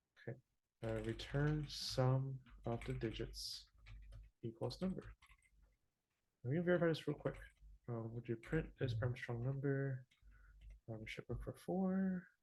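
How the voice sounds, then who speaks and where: A somewhat breathy man at a fairly slow pace, with long, frequent pauses. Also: medium pitch for a man, ordinary pitch variation. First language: not English. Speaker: teaching assistant. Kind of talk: tutorial. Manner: halting.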